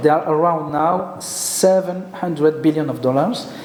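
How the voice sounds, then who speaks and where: A man with a French accent speaks at a fairly slow pace in a high pitch, with audible room echo and noticeable background noise. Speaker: geopolitical expert. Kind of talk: conference presentation. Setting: conference with audience. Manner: halting.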